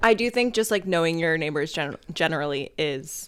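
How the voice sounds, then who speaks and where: Over a very clean recording with a silent background, a woman speaks in a normal speaking voice, fairly low in pitch, at a moderate pace with lively intonation. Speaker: podcast co-host. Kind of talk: casual chat.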